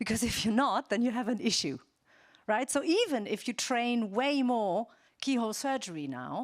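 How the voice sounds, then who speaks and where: A woman with a German accent and a fairly high voice, at a moderate pace, on a very clean recording with a silent background. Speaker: ethics keynote speaker. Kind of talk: conference keynote. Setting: stage with audience. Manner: conversational with fillers.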